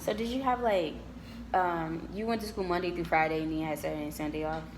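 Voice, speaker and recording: Speaking very fast in an American accent, a woman has a fairly low pitch and ordinary pitch variation. Audible room echo surrounds her voice. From Detroit, Michigan, US. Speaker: university student. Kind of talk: casual interview chat.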